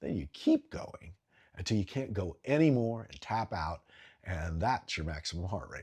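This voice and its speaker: A man speaks at a moderate pace with a fairly low, somewhat breathy voice and very wide pitch swings. His loudness swings widely, and the recording is very clean with a silent background. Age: 60s. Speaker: health and fitness vlogger. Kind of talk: talking-head explainer video.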